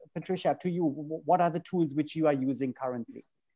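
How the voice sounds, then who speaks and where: Over a quiet background, a man talks very fast. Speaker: panel moderator. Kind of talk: moderated panel discussion. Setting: video call. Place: home room. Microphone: earbuds.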